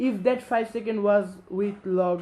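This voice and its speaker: A man with a high pitch speaks fairly slowly, his intonation fairly even. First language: Bengali. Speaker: gaming commentator. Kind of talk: game recap commentary. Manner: halting, frequent fillers.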